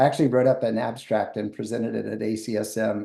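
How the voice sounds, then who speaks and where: Vocal fry and a dark, mellow tone at a fairly quick pace, in an American accent. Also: man. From USA. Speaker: sport scientist. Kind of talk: podcast interview.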